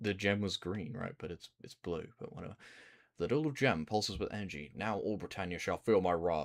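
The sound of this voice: Lively intonation marks this delivery. It comes in an unforced reading voice.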